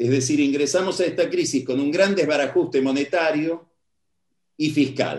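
At a moderate pace, a man with a fairly high pitch uses a plain, everyday voice and fairly even intonation. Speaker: political analyst. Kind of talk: lecture.

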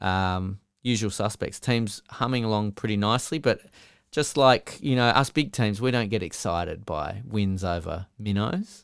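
In a very clean recording with a silent background, a man with an Australian accent talks at a moderate pace, his fairly low pitch showing ordinary variation. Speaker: podcast co-host. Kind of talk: casual chat.

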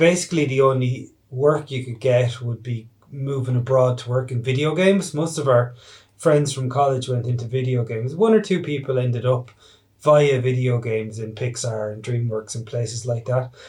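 At a moderate pace, a man with an Irish accent speaks in a somewhat breathy, medium-pitched voice with ordinary pitch variation. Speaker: animated film director. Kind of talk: interview.

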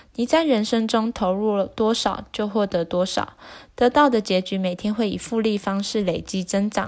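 Here is a normal speaking voice from a woman at a medium pitch, with ordinary pitch variation. She goes at a moderate pace on a very clean recording with a silent background. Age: 20s. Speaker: book summary channel host. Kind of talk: book summary narration.

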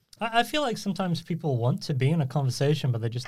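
A fairly quick, somewhat breathy male voice with lively intonation, in a very clean recording with a silent background. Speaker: podcast host. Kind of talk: casual chat. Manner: filler-heavy, self-conscious about ums.

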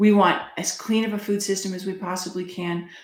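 Her flat, monotone delivery at a moderate pace carries audible room echo as this woman speaks. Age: 50s. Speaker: health freedom advocate. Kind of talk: interview.

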